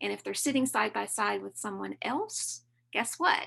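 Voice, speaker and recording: Moderate pacing from a woman in a Southern US accent. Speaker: learning designer presenting software training. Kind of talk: conference webinar tutorial.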